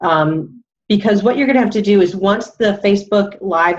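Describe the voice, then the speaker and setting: A woman in an unremarkable speaking voice talks at medium pitch and moderate pace with ordinary pitch variation. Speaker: presenter on a team call. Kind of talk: tutorial.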